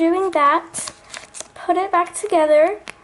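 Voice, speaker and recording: A woman's voice, with ordinary pitch variation, is heard amid noticeable background noise. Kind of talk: craft tutorial talk to camera. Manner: casual, hesitant.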